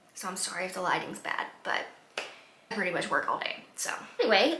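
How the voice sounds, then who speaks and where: A woman's voice carries audible room echo. Noticeable background noise sits behind her. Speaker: lifestyle vlogger. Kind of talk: casual vlog talk. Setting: outdoors in garden.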